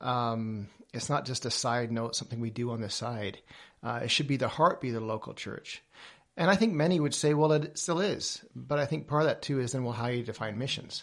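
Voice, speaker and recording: Against a quiet background, a man talks fairly quickly in a normal speaking voice, medium in pitch with ordinary pitch variation. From Papua New Guinea, English family, American schooling. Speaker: missions leader. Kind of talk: interview.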